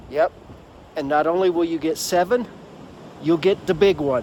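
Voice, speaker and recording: A man talks fairly slowly at a high pitch, with ordinary pitch variation and noticeable background noise around him. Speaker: hiking vlogger. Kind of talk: solo vlog talking to camera. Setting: outdoors at a campsite. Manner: quiet, hushed.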